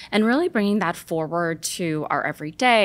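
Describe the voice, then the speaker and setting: A woman with a Los Angeles accent speaks at a medium pitch and a fairly quick pace with lively intonation. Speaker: beauty brand marketing lead. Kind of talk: casual interview.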